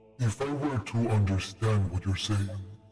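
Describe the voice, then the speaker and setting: He puts on a character voice. This man's pitch sits fairly low, at a moderate pace. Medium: actual play. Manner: measured, condescending.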